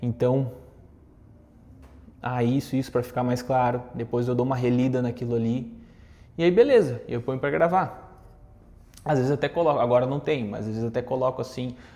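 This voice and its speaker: Medium-pitched man at a fairly quick pace. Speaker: content creator and communication coach. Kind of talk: casual talk to camera with tips. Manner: conversational with fillers.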